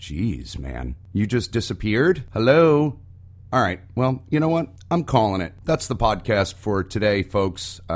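Vocal fry runs through this man's voice. His pitch leaps up and down over a very broad range. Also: fairly low pitch for a man. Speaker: podcast co-host. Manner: sarcastic, brash.

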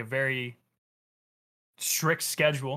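On a very clean recording with a silent background, a man speaks loudly at a medium pitch in a bright, sharp tone. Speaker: gaming YouTuber and streamer. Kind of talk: casual chat.

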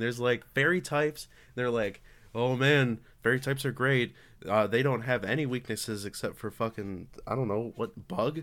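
Heard in a very clean recording with a silent background, a normal speaking voice moves at a moderate pace. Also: man, medium pitch for a man, ordinary pitch variation. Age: young. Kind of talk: casual chat.

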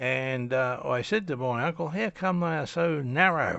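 Lively intonation marks this man's medium-pitched voice in an Australian accent. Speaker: storyteller recounting his life story. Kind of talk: personal memoir monologue. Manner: halting, many fillers.

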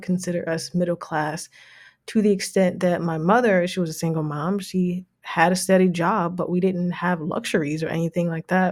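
In a New Jersey accent, a woman talks at a fairly quick pace with a fairly low pitch. The recording is very clean, the background silent. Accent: American, New Jersey. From New Jersey, Jersey City. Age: 30s. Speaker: financial consultant, podcast host. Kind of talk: casual monologue.

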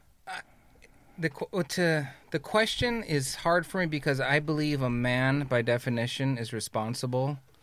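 A man talks in a normal speaking voice at a moderate pace. His pitch is fairly high, with ordinary pitch variation. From Los Angeles area, California. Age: 50s. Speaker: fatherhood and men's leadership influencer. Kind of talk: casual roundtable conversation. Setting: studio.

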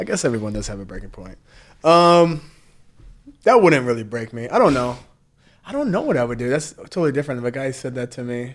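Speaking at a very fast pace, a man uses lively intonation and a medium pitch, with an American accent. He leaves long, frequent pauses. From US South. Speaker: former reality TV contestant, podcast co-host. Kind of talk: casual chat.

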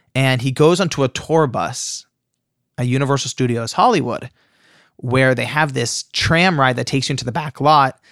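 A man's medium-pitched voice in an American accent, moderate pace and ordinary pitch variation, dry and close with no echo, very clean recording with a silent background. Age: 20s. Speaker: author. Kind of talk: interview. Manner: animated.

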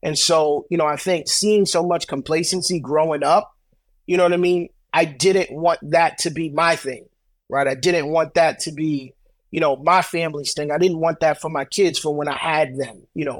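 A man with a New York accent speaks at a moderate pace, his fairly high voice held to fairly even intonation. The recording is very clean, with a silent background. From Brooklyn, New York. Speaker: credit repair business owner. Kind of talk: interview.

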